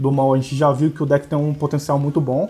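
A man's fairly high voice at a fairly quick pace. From Brazil, Campos dos Goytacazes, interior of Rio de Janeiro state. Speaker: blogger and card game player. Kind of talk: casual chat. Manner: halting.

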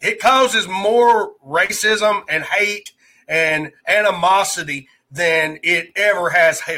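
Speaking very slowly, a man with an American accent uses a raised, projected voice. His tone is bright and sharp, his pitch high, with ordinary pitch variation. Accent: Southern US redneck. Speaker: livestreamer and podcast host. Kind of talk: casual live stream chat. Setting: live stream with online chat.

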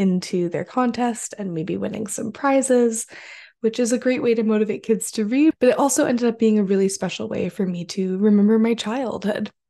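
Against a quiet background, a woman with a dark, mellow tone speaks at a moderate pace and a fairly high pitch, with ordinary pitch variation. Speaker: podcast host. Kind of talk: casual solo intro and chat.

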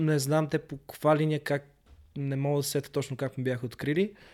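In a very clean recording with a silent background, a man with a fairly high pitch speaks at a moderate pace. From Bulgaria, Sofia. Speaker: breakdancer. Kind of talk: casual interview.

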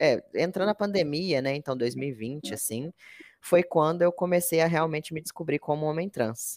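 This man has a normal speaking voice, fairly high in pitch, with ordinary pitch variation and a moderate pace. The sound is dry and close, with no echo. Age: 20s. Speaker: content analyst, former teacher. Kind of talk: interview.

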